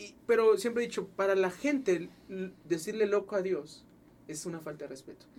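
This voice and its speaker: The man's high-pitched voice moves at a moderate pace, its pitch varying in an ordinary way. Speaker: podcast host. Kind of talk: casual interview.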